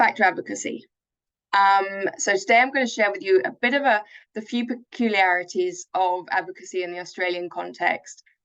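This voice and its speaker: The speaker has a London accent and a fairly quick pace. Pitch varies in an ordinary way. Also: woman, medium pitch for a woman. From England, South London. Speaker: charity chief executive. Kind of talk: webinar presentation.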